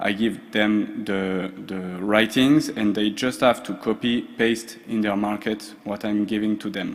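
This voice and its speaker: The voice comes with a French accent and fairly even intonation, at a fairly slow pace with hardly any pauses. Noticeable background noise sits behind it. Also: man. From France, Strasbourg. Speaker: social procurement expert. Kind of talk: conference presentation. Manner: hesitant, many fillers.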